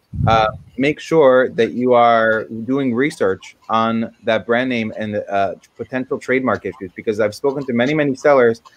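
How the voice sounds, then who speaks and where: An ordinary speaking voice, a man at medium pitch and moderate pace. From USA, moved from Israel at six. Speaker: Amazon marketing expert. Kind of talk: webinar presentation. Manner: many fillers (um, uh).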